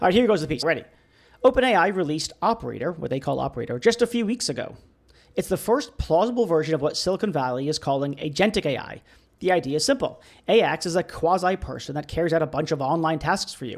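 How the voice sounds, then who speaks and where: A man's voice comes through high-pitched. He speaks at a very fast pace. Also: lively intonation, very clean recording, silent background. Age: 40s. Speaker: podcast host and AI ethics writer. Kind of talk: reading aloud his own essay.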